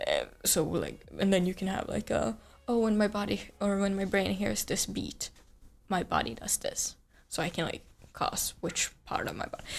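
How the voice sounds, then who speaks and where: A woman speaks with a Swedish accent. Her pace is moderate. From Sweden. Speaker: streamer. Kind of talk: casual chat. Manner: halting.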